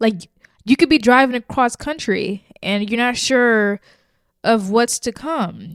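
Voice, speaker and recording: A woman with an American accent, fairly high pitch, ordinary pitch variation and a very slow pace, in a dry, close sound with no echo. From US South, New Orleans. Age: 20s. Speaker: podcast host. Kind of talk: casual monologue podcast.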